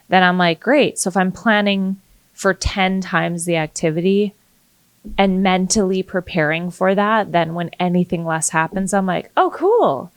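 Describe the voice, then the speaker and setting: At medium pitch and a moderate pace, a woman talks with fairly even intonation in an unremarkable speaking voice, the sound dry and close with no echo. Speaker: real estate agent and podcast host. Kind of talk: casual chat.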